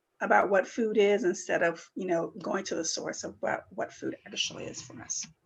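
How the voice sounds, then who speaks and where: Speaking at a moderate pace, a woman has a normal speaking voice at a medium pitch. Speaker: student wellness presenter. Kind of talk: workshop presentation. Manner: many fillers (um, uh).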